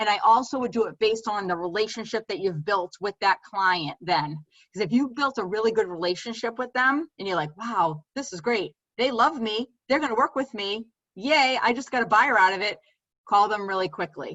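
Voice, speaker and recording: This woman's voice sits fairly high in pitch and moves with lively intonation. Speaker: real estate trainer. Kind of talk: training class. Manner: fast.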